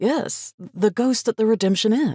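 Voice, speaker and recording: Using a put-on character voice, a woman speaks at a fairly high pitch. Her pace is moderate. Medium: read story. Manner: friendly, slightly sheepish.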